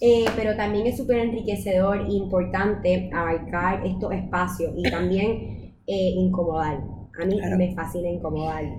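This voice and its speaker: Amid noticeable background noise and audible room echo, a woman speaks at a fairly slow pace and medium pitch with fairly even intonation. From Puerto Rico. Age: 20s. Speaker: communicator and sex-education project co-founder. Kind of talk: casual interview.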